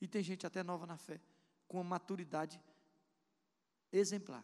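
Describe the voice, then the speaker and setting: A man's high voice moves at a moderate pace, its pitch varying in an ordinary way. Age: 50s. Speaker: pastor. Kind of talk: sermon. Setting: church.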